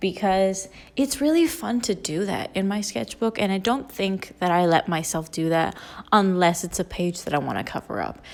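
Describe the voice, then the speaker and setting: Over a silent background in a very clean recording, a woman with a normal speaking voice talks at a moderate pace and medium pitch, her intonation lively. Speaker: artist and art student. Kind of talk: voiceover narration.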